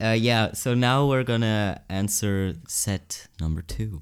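Recorded very cleanly against a silent background, a man with a Swiss German accent speaks at a very slow pace with a fairly low pitch and ordinary pitch variation. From Switzerland, Zurich area. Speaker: podcast co-host. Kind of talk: casual chat.

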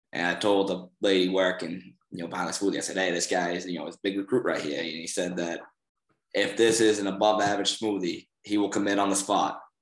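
With a Boston accent, a man speaks at a fairly quick pace in a very deep, low pitch and a monotone, flat intonation. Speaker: college wrestler. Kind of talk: casual chat.

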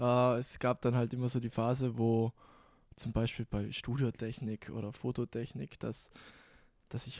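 Intonation holds fairly even. The voice has a dark, mellow tone. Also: man. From South Tyrol, Bozen. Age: young. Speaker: content creator. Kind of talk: casual chat. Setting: studio.

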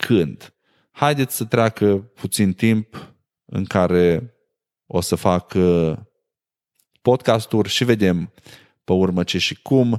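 A man's fairly low voice at a very slow pace, with long, frequent pauses and ordinary pitch variation, dry and close with no echo on a very clean recording with a silent background. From Romania, Maramureș (Sighetu Marmației). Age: 30s. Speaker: podcast host. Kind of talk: casual monologue.

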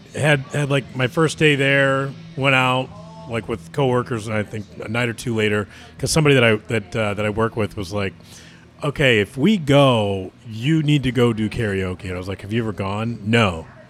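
Over music in the background, a man talks at a medium pitch with an American accent. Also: ordinary pitch variation, moderate pace. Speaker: podcast host.

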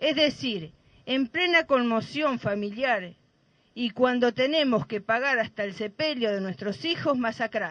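Fairly slow delivery in an unremarkable speaking voice. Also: woman, fairly high pitch for a woman, lively intonation, quiet background. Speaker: mother of a femicide victim, activist. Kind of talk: protest speech; reading a statement aloud. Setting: outdoors at a plaza rally.

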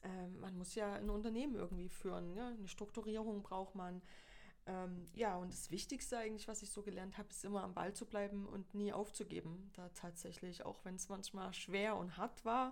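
The speech moves at a moderate pace with fairly even intonation against noticeable background noise. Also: woman, medium pitch for a woman. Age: 40s. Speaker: photographer. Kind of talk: casual interview chat.

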